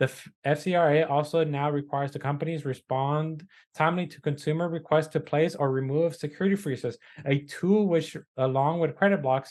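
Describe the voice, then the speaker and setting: A man with a non-native accent, fairly high pitch, fairly quick pace and fairly even intonation. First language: not English. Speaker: podcast co-host, credit repair business owner. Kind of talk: casual news discussion, reading articles aloud. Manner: halting, with fillers and self-corrections.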